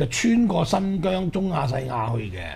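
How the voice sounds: Amid faint background noise, a man with a fairly high pitch and a slightly mellow tone speaks with vocal fry and big pitch swings. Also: moderate pace.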